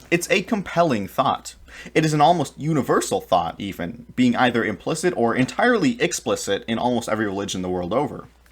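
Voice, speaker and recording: A man talks at a very fast pace with vocal fry, a fairly high pitch and very wide swings in pitch. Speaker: political commentary YouTuber. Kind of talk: scripted educational video essay narration.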